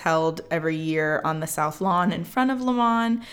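With an American accent, a woman talks at a moderate pace in a fairly low pitch, her intonation lively. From northern Indiana, US Midwest. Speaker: podcast co-host. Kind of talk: casual chat.

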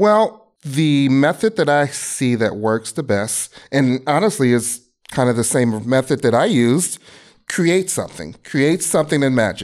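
A man with an American accent and a normal speaking voice talks at a fairly slow pace with a fairly high pitch, lively intonation and very even loudness, in a very clean recording with a silent background. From US Midwest, Chicago. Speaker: game streaming director. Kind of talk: interview.

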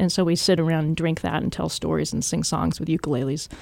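Recorded in a dry, close sound with no echo, a woman talks with a West Coast US accent. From US West Coast, Washington State. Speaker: archaeologist. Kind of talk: interview.

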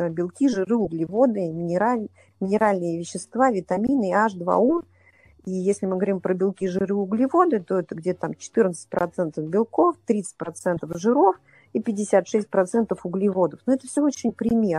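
At a fairly slow pace, a woman speaks in a dark, mellow tone at a medium pitch with ordinary pitch variation. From Russia, Saint Petersburg. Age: 40s. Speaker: triathlete and coach. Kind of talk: interview. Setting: remote call.

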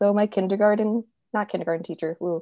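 In an American accent, a woman with a plain, everyday voice speaks at a fairly quick pace and medium pitch with ordinary pitch variation. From California. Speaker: sound designer and podcast host. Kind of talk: casual chat.

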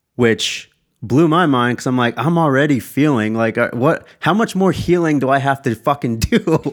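On a very clean recording with a silent background, a man with an American accent talks at a moderate pace in a plain, everyday voice, fairly high in pitch, with lively intonation and very even loudness. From US Southwest, Tucson, Arizona. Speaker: podcast host and sports dietitian. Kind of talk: casual chat.

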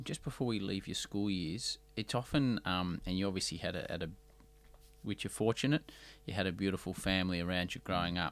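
A man speaks with an Australian accent, his pitch very deep and low. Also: ordinary pitch variation, fairly quick pace, very clean recording, silent background. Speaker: podcast host. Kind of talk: interview conversation. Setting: studio in Melbourne.

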